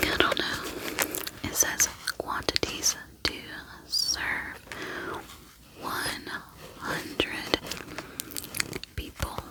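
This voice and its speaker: Whispering at a very slow pace with long, frequent pauses, a woman is heard against noticeable background noise. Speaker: ASMR creator. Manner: whispering, soft, slow, relaxing.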